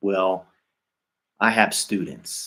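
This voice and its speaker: This man has a very deep, low pitch and speaks with an American accent. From US Midwest, Dayton, Ohio. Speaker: English teacher. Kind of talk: casual unscripted talk to camera. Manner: slow, clear; hesitant with fillers.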